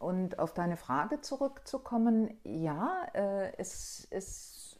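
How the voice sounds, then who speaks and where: A woman's medium-pitched, dark, mellow voice in a very clean recording with a silent background. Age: 60s. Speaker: guest sharing experience of involuntary childlessness. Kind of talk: podcast interview.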